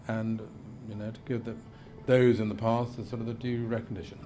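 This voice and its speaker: A man with a fairly low voice talks amid noticeable background noise and audible room echo. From Lincolnshire, England. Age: 60s. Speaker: representative of the Queen (deputy lieutenant). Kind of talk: documentary interview. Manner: hesitant, filler-heavy.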